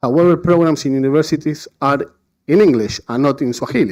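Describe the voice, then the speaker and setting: With a Spanish accent, a man speaks at a moderate pace and a fairly high pitch, using ordinary pitch variation. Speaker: conference panelist. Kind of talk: conference talk. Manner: halting, many fillers and repetitions.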